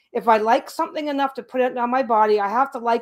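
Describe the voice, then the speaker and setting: Ordinary pitch variation and a moderate pace from a woman speaking high. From Canada. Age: 60s. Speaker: craft YouTuber. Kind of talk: casual livestream chat.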